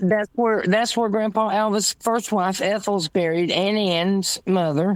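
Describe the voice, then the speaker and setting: A woman speaks with a Southern US accent. She keeps a fairly slow pace with ordinary pitch variation. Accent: Southern US (Georgia). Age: 70s. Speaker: guest. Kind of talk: casual chat.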